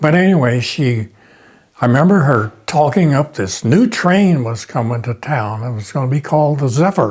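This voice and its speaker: This man's voice sits fairly high and sounds somewhat breathy. His intonation is lively, and he moves at a moderate pace. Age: 90s. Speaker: local artist. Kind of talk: interview.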